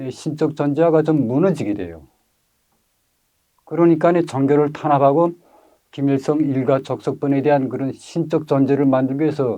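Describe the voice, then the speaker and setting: A man speaks with a fairly high pitch and a dark, mellow tone. His pitch varies in an ordinary way at a moderate pace, broken by long, frequent pauses. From North Korea, Ryanggang Province. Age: 60s. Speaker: North Korean defector, witness. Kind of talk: testimony interview. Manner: hesitant, many filler sounds.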